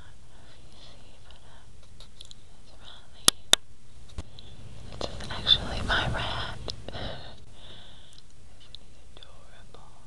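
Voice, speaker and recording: A woman's fairly slow speech broken by long, frequent pauses. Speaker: home video maker. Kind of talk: casual talk to camera. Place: home room. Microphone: phone near.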